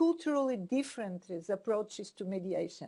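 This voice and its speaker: A woman with a Portuguese accent speaks in a dark, mellow tone at a fairly high pitch, with lively intonation against a quiet background. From Portugal. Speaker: mediator, dispute resolution expert. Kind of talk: conference panel discussion. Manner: halting, repeated words.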